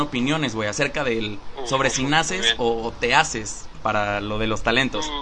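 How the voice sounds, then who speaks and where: Through noticeable background noise, a man with a Mexican accent speaks at a moderate pace. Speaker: podcast host. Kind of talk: casual chat. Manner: animated.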